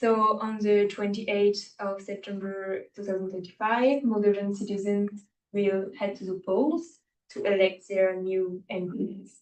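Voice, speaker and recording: A woman at medium pitch with fairly even intonation, fairly slow pace, and big swings in loudness. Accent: French. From France. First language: French. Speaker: student trainee presenter. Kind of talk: briefing presentation.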